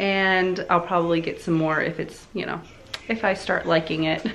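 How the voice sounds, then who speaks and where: Light noise sits in the background. A woman's speech moves at a moderate pace. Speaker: home vlogger. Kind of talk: casual vlog chat. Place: kitchen. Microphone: phone near.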